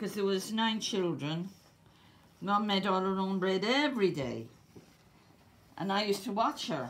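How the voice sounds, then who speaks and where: In an Irish accent, a woman of medium pitch speaks at a moderate pace, with audible room echo. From Ireland. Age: 70s. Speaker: home cook. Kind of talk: cooking tutorial.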